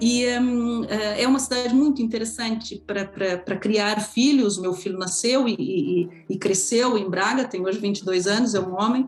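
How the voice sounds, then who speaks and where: A woman with a fairly high voice speaks at a moderate pace with hardly any pauses, against noticeable background noise. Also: ordinary pitch variation. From Brazil. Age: 40s. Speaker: immigrant interviewee, law academic. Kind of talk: interview testimony. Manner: hesitant, many fillers.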